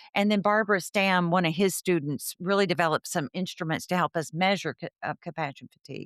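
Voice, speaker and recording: A woman with a Texan accent speaks at a moderate pace in a dry, close sound with no echo, on a very clean recording with a silent background. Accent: Texan American. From Texas, Fort Worth. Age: 60s. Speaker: counselor and educator. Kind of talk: interview.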